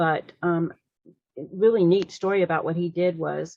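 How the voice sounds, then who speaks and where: A woman speaks at a fairly low pitch. Her intonation stays fairly even. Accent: Southern US. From US South. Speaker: fan, writer of fiction. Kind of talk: casual interview.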